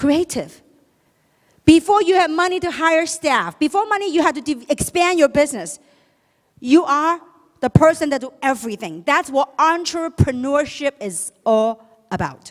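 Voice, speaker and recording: High-pitched and animated, a woman talks with lively intonation. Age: 50s. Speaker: motivational speaker, network marketing leader. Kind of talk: motivational talk. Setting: stage with audience.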